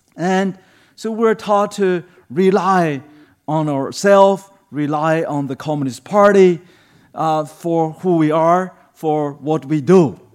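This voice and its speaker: This man speaks with a Chinese accent at a high pitch. His pace is very slow. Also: ordinary pitch variation. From China. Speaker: human rights advocate and pastor. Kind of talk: sermon. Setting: church. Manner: halting, many fillers.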